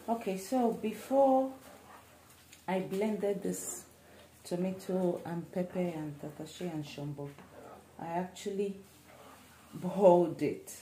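Amid audible room echo and light background noise, a woman with a fairly low pitch talks at a fairly slow pace with long, frequent pauses. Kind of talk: cooking tutorial. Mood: relaxed, opinionated. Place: kitchen. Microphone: phone near.

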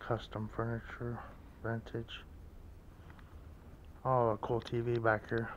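A man at medium pitch, slow-paced, with monotone, flat intonation

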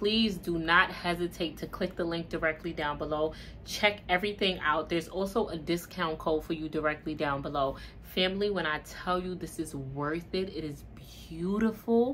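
Over light background noise, a woman with a fairly low pitch talks at a moderate pace with ordinary pitch variation. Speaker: vlogger. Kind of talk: casual vlog chat. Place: home room.

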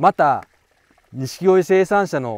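In a dry, close sound with no echo, a man speaks at a very slow pace with lively intonation. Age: 40s. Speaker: koi breeder and broker. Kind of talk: casual monologue to camera.

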